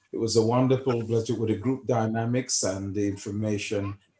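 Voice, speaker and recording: The tone is dark and mellow, somewhat breathy. Pitch varies in an ordinary way at a moderate pace. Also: man. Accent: Jamaican. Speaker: class participant. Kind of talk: brief thanks and blessing.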